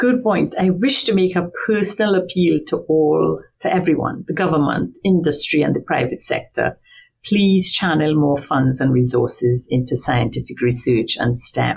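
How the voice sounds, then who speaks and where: A woman with a fairly low pitch speaks at a moderate pace, her voice somewhat breathy. Her pitch swings very widely while her loudness stays very even. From Trinidad and Tobago. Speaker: marine biology professor. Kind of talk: interview.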